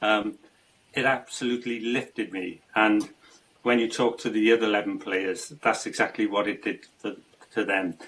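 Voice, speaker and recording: In a South Wales accent, the speaker keeps a moderate pace and fairly even intonation. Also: man, medium pitch for a man. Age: 60s. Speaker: amateur football goalkeeper with Parkinson's. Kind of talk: interview. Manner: halting.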